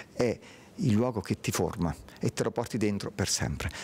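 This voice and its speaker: Delivered at a fairly quick pace, this is an ordinary speaking voice. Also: man. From Lanciano, Abruzzo, Italy; Abruzzo, Italy. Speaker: interviewee. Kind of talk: interview. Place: hall. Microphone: handheld.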